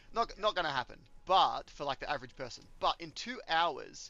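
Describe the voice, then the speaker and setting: A man talks with an Australian accent. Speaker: gaming streamer. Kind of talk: casual chat while gaming. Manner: halting.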